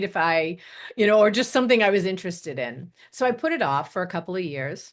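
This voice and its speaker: Against a quiet background, a woman with an unremarkable speaking voice talks at a fairly quick pace, medium in pitch, with lively intonation. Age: 60s. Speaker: transformational coach. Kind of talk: interview conversation. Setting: radio show.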